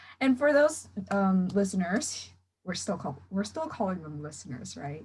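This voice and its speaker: A woman with an American accent speaks at a medium pitch and a moderate pace, sounding somewhat breathy. Her pitch swings very widely, and her loudness rises and falls in big swings. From California. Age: young. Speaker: podcast host. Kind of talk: casual chat.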